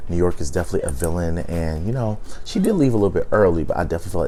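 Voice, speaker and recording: Noticeable background noise and audible room echo surround the recording. It is a man talking. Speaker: YouTube reality TV reviewer. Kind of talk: casual video commentary. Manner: casual, with frequent fillers.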